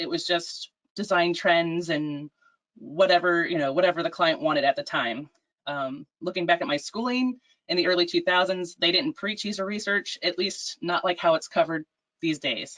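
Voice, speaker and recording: A woman's fairly low pitch with ordinary pitch variation. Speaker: UX designer. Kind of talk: webinar presentation. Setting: video call. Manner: fast.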